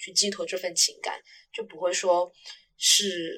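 A woman talks at a moderate pace. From Guangdong, China. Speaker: podcast co-host, university student. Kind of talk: casual chat.

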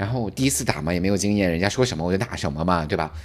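A man speaks with a very deep, low voice. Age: 40s. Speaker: podcast co-host. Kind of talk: casual chat.

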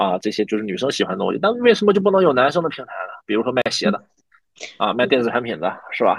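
A man at a very fast pace, his pitch swinging very widely. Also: medium pitch for a man. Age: 30s. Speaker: new media manager. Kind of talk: interview.

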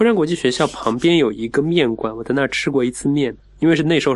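Very fast speech from a man, pitched fairly high, his pitch varying in an ordinary way. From Wuxi, Jiangnan, China. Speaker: food writer. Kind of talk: casual chat.

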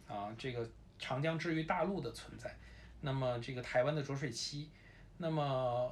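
In a Beijing accent, the speaker talks at a moderate pace with ordinary pitch variation and long, frequent pauses, amid noticeable background noise and audible room echo. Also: man, medium pitch for a man. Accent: Beijing Mandarin with erhua. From Beijing, China. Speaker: sports photojournalist. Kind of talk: casual chat.

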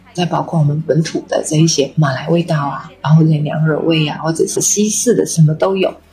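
Fairly quick speech with hardly any pauses, fairly even intonation and noticeable background noise. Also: woman, very deep, low pitch for a woman. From Malaysia, Kedah. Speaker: magazine editor and bookstore owner. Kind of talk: casual interview. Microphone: poor audio quality.

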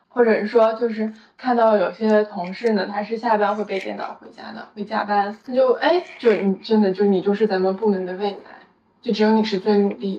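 A woman talks at a fairly quick pace with a medium pitch and fairly even intonation, yet big swings in loudness. It is an ordinary speaking voice. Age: 20s. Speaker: podcast co-host. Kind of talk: casual chat.

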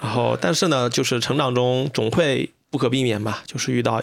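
A man's medium-pitched voice with vocal fry and fairly even intonation. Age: 30s. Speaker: podcast host. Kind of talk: casual chat. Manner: hesitant, many fillers.

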